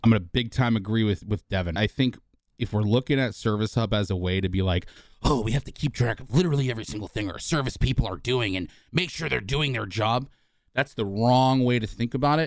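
This very clean recording has a silent background. The speech rushes along at a very fast pace. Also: man, medium pitch for a man, ordinary pitch variation. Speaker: HubSpot trainer. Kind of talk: casual conversational interview. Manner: enthusiastic.

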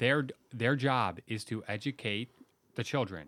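In a very clean recording with a silent background, a man with an American accent uses a normal speaking voice, speaking at a fairly slow pace with ordinary pitch variation. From Chicago suburbs, Illinois. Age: 30s. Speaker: policy think tank editor, former teacher. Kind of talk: panel discussion.

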